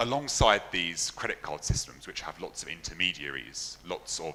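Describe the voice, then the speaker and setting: The speaker is a man with a London accent. He talks at a moderate pace. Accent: British, London. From London, England. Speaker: software engineer, conference speaker. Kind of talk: conference talk.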